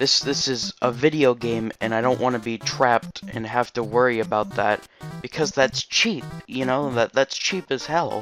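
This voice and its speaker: A man talks at a moderate pace. Background music can be heard. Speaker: video game reviewer. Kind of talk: casual unscripted game review talk.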